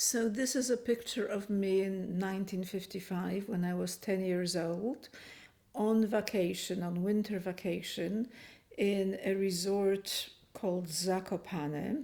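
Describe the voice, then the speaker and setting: In a Polish accent, a woman speaks at a fairly slow pace with a dark, mellow tone on a very clean recording with a silent background. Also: medium pitch for a woman, ordinary pitch variation. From Poland, Kraków, then Canada. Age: 70s. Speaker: refugee interviewee. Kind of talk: testimony. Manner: hesitant.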